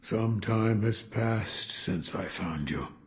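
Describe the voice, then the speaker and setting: A man speaks in a put-on character voice at medium pitch. He talks at a fairly slow pace, with audible echo. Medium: video game. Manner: terse, guarded, low-key.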